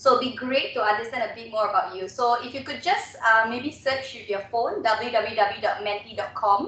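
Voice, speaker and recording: Over noticeable background noise, a woman talks with hardly any pauses and big swings in loudness. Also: fairly high pitch for a woman, ordinary pitch variation. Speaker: webinar trainer and radio host. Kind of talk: webinar presentation. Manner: fast.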